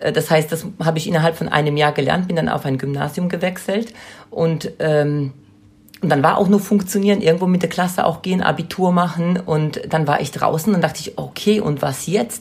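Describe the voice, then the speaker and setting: Somewhat breathy and fairly low-pitched, a woman speaks at a moderate pace with ordinary pitch variation. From Poland. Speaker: childcare consultant and trainer. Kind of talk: interview.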